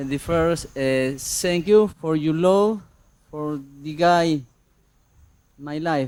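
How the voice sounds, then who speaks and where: A fairly high-pitched man's voice with a Spanish accent, very slow, with ordinary pitch variation and long, frequent pauses. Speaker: audience member. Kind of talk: question to teacher. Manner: halting.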